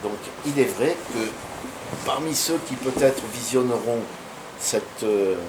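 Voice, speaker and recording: A man of medium pitch talks at a very slow pace with ordinary pitch variation, amid noticeable background noise and audible room echo. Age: 60s. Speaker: martial arts master. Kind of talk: interview. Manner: hesitant with fillers.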